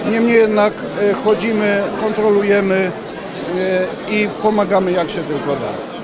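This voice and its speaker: Against loud background noise, a man speaks with long, frequent pauses. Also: fairly slow pace. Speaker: municipal police officer. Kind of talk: interview. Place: hall. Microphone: handheld.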